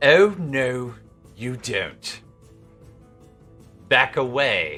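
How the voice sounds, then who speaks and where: A put-on character voice from a man at a medium pitch, with faint music in the background. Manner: commanding, menacing.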